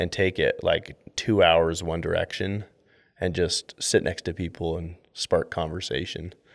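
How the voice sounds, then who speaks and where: On a very clean recording with a silent background, a man with an American accent speaks at a fairly slow pace. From US. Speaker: door-to-door sales record holder. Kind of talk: casual interview chat.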